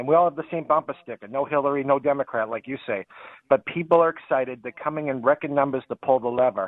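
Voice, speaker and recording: Talking at a very fast pace, a man with a Boston accent has a fairly high pitch. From New Hampshire, New England. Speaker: radio call-in caller. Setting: phone.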